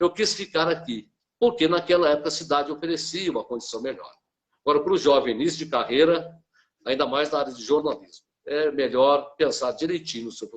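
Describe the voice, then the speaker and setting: An unremarkable speaking voice moves at a fairly quick pace with big swings in loudness. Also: man, fairly high pitch for a man, ordinary pitch variation. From Brazil, Cruzeiro (São Paulo state). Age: 60s. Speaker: journalist and author. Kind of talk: interview.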